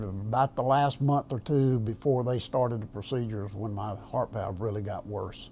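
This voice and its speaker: This man's voice is fairly low-pitched, with a dark, mellow tone and a somewhat breathy quality. His intonation stays fairly even. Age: 70s. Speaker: semi-retired minister, heart patient. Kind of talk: interview testimony. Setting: filmed interview on camera. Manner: halting, many fillers.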